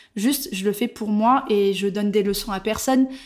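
A woman talks at a moderate pace in a fairly high voice with ordinary pitch variation. It is an unremarkable speaking voice. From southwestern France, Bordeaux. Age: 30s. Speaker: content creator. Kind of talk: casual chat. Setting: face to face at home.

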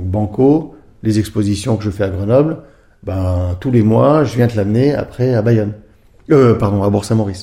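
A man with a fairly low pitch and a dark, mellow, somewhat breathy tone speaks at a moderate pace with ordinary pitch variation. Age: 50s. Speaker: former pro snowboarder and art gallery founder. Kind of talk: interview. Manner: hesitant, many filler sounds.

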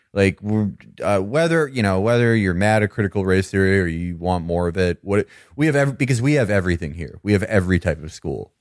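Lively intonation runs through a man's fairly low-pitched, ordinary speaking voice, heard with a dry, close sound and no echo. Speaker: podcast co-host. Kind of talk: casual comedic chat.

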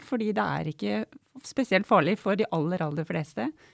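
A woman has a normal speaking voice of medium pitch and lively intonation. She talks at a moderate pace in a dry, close sound with no echo. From Norway, Otta in Gudbrandsdalen. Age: 40s. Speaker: doctor and public debater. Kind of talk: casual chat.

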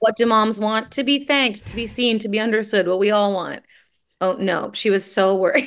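A woman in a normal speaking voice with a Canadian accent, fairly high in pitch, at a moderate pace with fairly even intonation. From Toronto, Canada. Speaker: writer and screenwriter. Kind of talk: casual interview chat.

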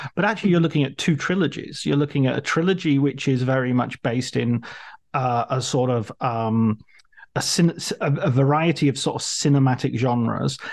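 A man speaks at a fairly quick pace in a medium pitch with ordinary pitch variation. His loudness stays very even against a quiet background. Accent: English. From England. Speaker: podcast host. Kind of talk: interview.

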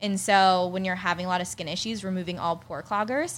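With an American accent and an ordinary speaking voice, a woman talks at medium pitch and a fairly quick pace, showing ordinary pitch variation. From Pittsburgh, Pennsylvania. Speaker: skincare entrepreneur. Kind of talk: casual interview chat. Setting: studio, in person.

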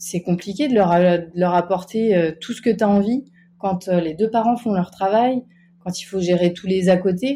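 Somewhat breathy and dark, mellow in tone, a woman speaks at a medium pitch and a fairly slow pace with ordinary pitch variation. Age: 20s. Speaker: stay-at-home mother. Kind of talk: casual interview.

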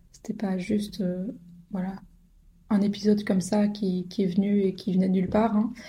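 A somewhat breathy, dark and mellow tone, with monotone, flat intonation at a moderate pace. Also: woman. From Belgium, Brussels. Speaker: podcast host. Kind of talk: personal monologue. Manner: hesitant, many filler sounds.

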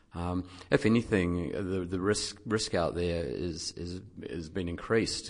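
A man speaks with a New Zealand accent. His pitch is very deep and low. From New Zealand, dairy farming background. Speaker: investment professional. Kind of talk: casual chat. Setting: studio.

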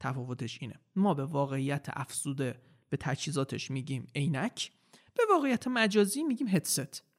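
An unremarkable speaking voice from a man, fairly high-pitched, with lively intonation at a moderate pace, in a dry, close sound with no echo. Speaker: metaverse consultant and content creator. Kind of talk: interview conversation.

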